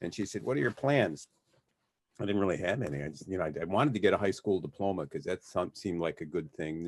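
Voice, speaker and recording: Talking very fast with very wide pitch swings, a man with an American accent is heard over a quiet background. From US Midwest, Detroit, Michigan. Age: 60s. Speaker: criminal defense lawyer. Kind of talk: casual interview. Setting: podcast. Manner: halting, many repeated words.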